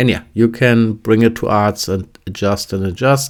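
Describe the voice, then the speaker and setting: With a German accent, a man speaks fairly slowly at medium pitch and with fairly even intonation. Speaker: fly tying instructor. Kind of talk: tutorial. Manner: halting, with fillers and restarts.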